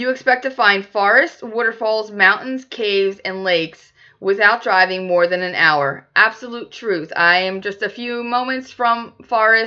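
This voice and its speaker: Her American accent comes with a fairly high pitch and ordinary pitch variation. The woman speaks at a fairly slow pace. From Philadelphia. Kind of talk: casual talk to camera.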